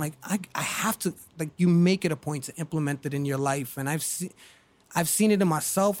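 This man has an unremarkable speaking voice with an American accent, a fairly high pitch and ordinary pitch variation. He speaks at a moderate pace in a very clean recording with a silent background. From Brooklyn, New York. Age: 40s. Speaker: podcast host, Navy veteran. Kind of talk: casual chat.

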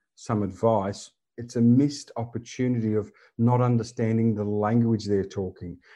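Against a quiet background, a man with an Australian accent speaks at a medium pitch in a dark, mellow tone with monotone, flat intonation. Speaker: disaster resilience consultant. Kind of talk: interview. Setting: remote call.

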